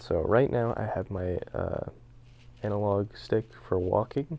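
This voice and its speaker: Soft-spoken, the man talks with a fairly low pitch. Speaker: speedrun tutorial maker. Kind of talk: tutorial. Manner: halting, many fillers.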